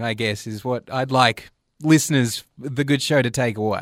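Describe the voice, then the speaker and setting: With an Australian accent, a man talks at a fairly slow pace in a medium pitch. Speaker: comedy radio show co-host. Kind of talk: comedic radio banter. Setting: studio.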